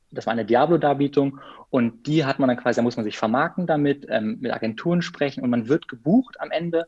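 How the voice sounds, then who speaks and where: Keeping a moderate pace and ordinary pitch variation, a man talks in an unremarkable speaking voice. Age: 20s. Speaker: freelance biographer and photographer, former circus artist. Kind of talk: casual interview.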